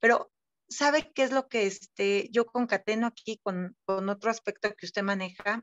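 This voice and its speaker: In a quiet background with a dry sound and no echo, a woman speaks at a moderate pace with ordinary pitch variation. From Mexico. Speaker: group participant. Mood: reflective, earnest. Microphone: video call.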